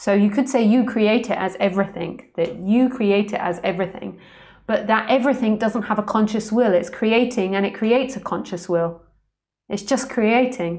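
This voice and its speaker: A woman with a London accent at a moderate pace, fairly high pitch and ordinary pitch variation, on a very clean recording with a silent background. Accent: London accent, often taken for Australian. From London, England. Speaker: spiritual teacher. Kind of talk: live stream Q&A. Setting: live stream. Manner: overpronounces words.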